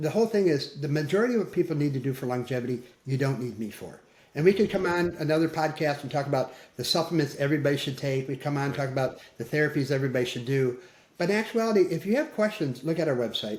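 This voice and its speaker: Lively in intonation, a man talks at a very fast pace. His voice is somewhat breathy. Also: fairly high pitch for a man. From US Midwest, Michigan. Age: 60s. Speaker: physician. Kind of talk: interview.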